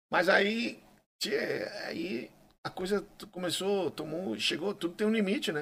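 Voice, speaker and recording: The intonation of this man's voice is lively. He keeps to a fairly slow pace. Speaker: gaucho music singer. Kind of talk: casual interview chat.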